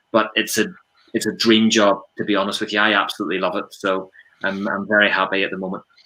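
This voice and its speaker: Talking very fast, a man with a Northern Irish accent has a bright, sharp tone, a fairly low pitch and flat, monotone intonation. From Northern Ireland, Ballymena, County Antrim. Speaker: prevent coordinator, former police detective. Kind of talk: podcast interview.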